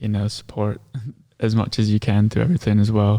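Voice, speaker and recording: The voice has an American accent and a dark, mellow tone, with monotone, flat intonation, on a very clean recording with a silent background. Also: man. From US Midwest, Iowa. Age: 20s. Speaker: filmmaker and social media manager. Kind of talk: casual interview chat.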